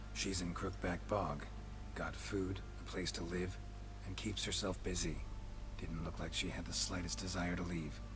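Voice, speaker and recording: A man puts on a character voice at a moderate pace while loud noise fills the background. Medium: machinima. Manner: terse, flat, deadpan.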